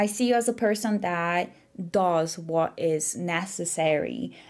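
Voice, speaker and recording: A woman with a non-native accent speaks at a fairly slow pace in a very clean recording with a silent background. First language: not English. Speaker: tarot reader. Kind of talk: pick-a-card tarot reading to camera.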